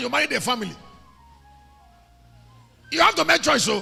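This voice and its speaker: A man's raised, projected voice, animated and very fast, over music in the background. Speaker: preacher. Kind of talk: sermon, preaching to a congregation. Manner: animated, conversational.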